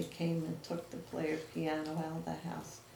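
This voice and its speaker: A woman with an American accent speaks at a moderate pace, with noticeable background noise and audible room echo. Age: 60s. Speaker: interviewer. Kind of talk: oral history interview.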